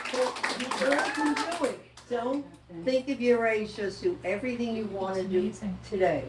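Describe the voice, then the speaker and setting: Noticeable background noise and audible room echo accompany a woman speaking at a moderate pace with lively intonation. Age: 90s. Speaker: local merchant and community member. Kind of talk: panel talk to audience.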